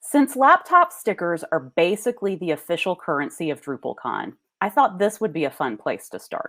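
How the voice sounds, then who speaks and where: A woman at a medium pitch, with a slight Southern US accent, very wide pitch swings and a moderate pace. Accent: Southern US accent, mild. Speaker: association executive giving keynote. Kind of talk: conference keynote speech.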